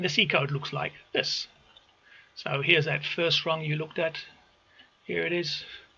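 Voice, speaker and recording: Over noticeable background noise, a man talks at a fairly slow pace in a fairly high pitch with monotone, flat intonation. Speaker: automation engineer. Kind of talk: tutorial. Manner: halting.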